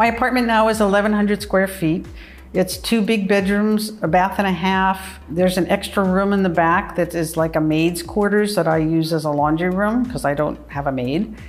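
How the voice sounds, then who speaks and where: A woman at a medium pitch, a normal speaking voice, moderate pace with hardly any pauses and ordinary pitch variation. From US (New York, California). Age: 60s. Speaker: retired journalist. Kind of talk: personal testimony interview. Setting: in her apartment.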